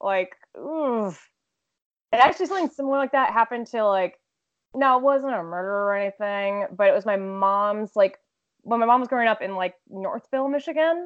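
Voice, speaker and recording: Speaking at a fairly quick pace, a woman with an American accent has a fairly high pitch, lively intonation and an unremarkable speaking voice. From Texas. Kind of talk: casual chat.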